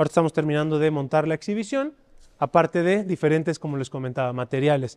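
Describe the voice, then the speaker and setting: Against a quiet background, a man with a Mexican accent speaks in a fairly high voice with an animated, enthusiastic tone and ordinary pitch variation. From Mexico. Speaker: auction house presenter. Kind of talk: promotional walkthrough of an auction preview, presenting lots. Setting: auction house exhibition hall. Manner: animated, enthusiastic sales-pitch delivery. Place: hall. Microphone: lapel.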